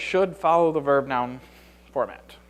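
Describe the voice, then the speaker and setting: With noticeable background noise behind him, a man talks at a fairly quick pace in a fairly high pitch. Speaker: conference speaker, system analyst. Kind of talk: conference talk. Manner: fast.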